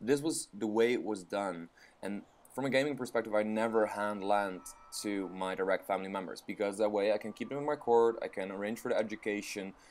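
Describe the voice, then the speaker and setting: Speaking at a fairly quick pace, a man with a non-native accent uses a fairly low pitch and fairly even intonation. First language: not English. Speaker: let's play gamer. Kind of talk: gameplay commentary. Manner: halting, many fillers.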